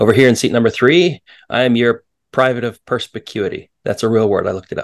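With an ordinary speaking voice of medium pitch and ordinary pitch variation, a man talks at a fairly quick pace in a dry, close sound with no echo. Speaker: podcast co-host and part-time pastor. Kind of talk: casual podcast conversation.

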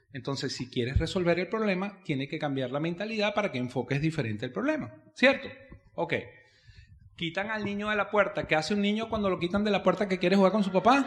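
A man's high voice at a very fast pace, with lively intonation. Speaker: network marketing business speaker. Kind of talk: seminar talk. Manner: animated.

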